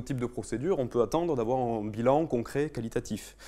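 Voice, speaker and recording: The tone is dark and mellow, with ordinary pitch variation at a fairly quick pace. The recording is very clean, with a silent background. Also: man. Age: young. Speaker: architect. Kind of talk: conference talk. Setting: conference room with audience. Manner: fast; hesitant, many fillers.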